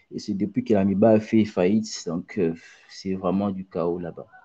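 With a Congolese accent, a man speaks at a fairly slow pace in a dark, mellow tone. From DR Congo, Mbuji-Mayi. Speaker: aspiring footballer and former student. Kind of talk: interview. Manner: halting, with many repetitions.

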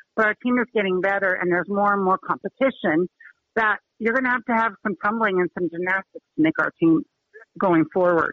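A woman with an American accent and an unremarkable speaking voice, medium in pitch, at a fairly quick pace with ordinary pitch variation and very even loudness. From Utah. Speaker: high school cheer coach. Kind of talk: radio interview.

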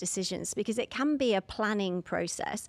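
Here a woman talks in a London accent with ordinary pitch variation. The recording is very clean, with a silent background. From London, England. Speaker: divorce coach. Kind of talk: interview.

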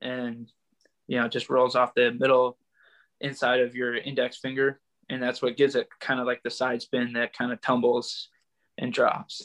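The background is quiet and the sound dry and close, with no echo. A man with an American accent speaks at a medium pitch in monotone, flat intonation. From US Midwest (Michigan). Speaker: baseball pitcher. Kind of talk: interview.

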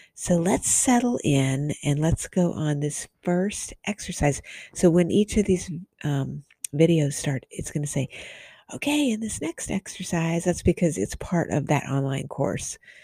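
Her tone dark and mellow, a woman speaks somewhat breathily at a fairly slow pace with lively intonation. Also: fairly low pitch for a woman. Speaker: radio host, author and past life therapist. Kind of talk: podcast intro and outro, casual talk. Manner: warm, caring, friendly.

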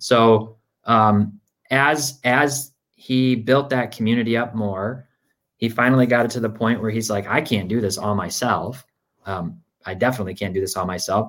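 Speaking in a Michigan accent, the man shows ordinary pitch variation. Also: medium pitch for a man, moderate pace. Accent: Midwestern American (Michigan). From Michigan, Grand Rapids. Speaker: sports card data executive. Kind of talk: casual interview.

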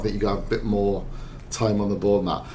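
Noticeable background noise sits under the recording. Over it, a man talks at a very fast pace. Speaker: football journalist. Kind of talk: casual football discussion. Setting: studio.

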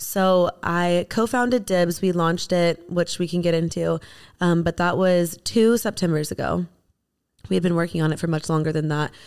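A woman with an unremarkable speaking voice, fairly low in pitch, at a moderate pace. Her intonation stays fairly even and her loudness very even, on a very clean recording with a silent background. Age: 30s. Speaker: beauty brand founder. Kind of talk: casual chat.

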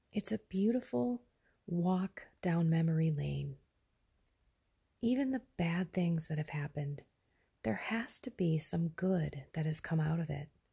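A woman speaks quietly and fairly slowly, with a dark, mellow, somewhat breathy tone at a fairly low pitch. Her intonation is lively, broken by long, frequent pauses. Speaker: faith podcaster. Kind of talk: devotional reflection. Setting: at home, early morning.

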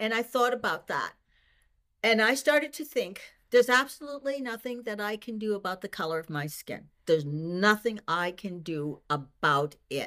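Speaking at a moderate pace with an American accent, a woman with a fairly high pitch and a bright, sharp tone swings very widely in pitch and greatly in loudness, on a very clean recording with a silent background. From Boston. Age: 60s. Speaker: retired teacher and senior track athlete. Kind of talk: interview.

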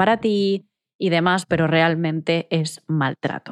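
A woman with a fairly low voice speaks in fairly even tones, recorded very cleanly against a silent background with a dry, close sound and no echo. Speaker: psychologist and podcast host. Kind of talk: solo advice monologue. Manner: direct.

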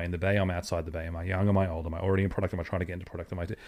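On a very clean recording with a silent background, a man speaks with an Australian accent in a very deep, low voice. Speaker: podcast co-host. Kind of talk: casual chat.

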